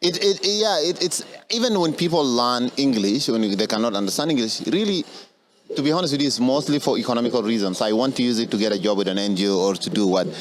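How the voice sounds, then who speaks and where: Very fast speech in an Arabic accent, with very wide pitch swings and very even loudness over noticeable background noise. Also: man, medium pitch for a man. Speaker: podcast host. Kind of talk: podcast conversation.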